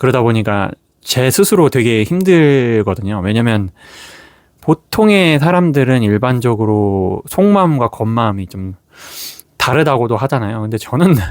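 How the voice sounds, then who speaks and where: This man has a normal speaking voice at medium pitch. He speaks at a fairly slow pace with lively intonation. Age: 40s. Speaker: gratitude journal YouTuber. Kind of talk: casual talk to camera.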